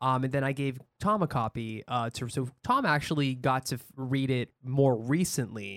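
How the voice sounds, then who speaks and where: An unremarkable speaking voice moves at a moderate pace with ordinary pitch variation, its sound dry and close with no echo on a very clean recording with a silent background. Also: man, medium pitch for a man. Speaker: podcast host. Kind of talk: casual chat. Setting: studio.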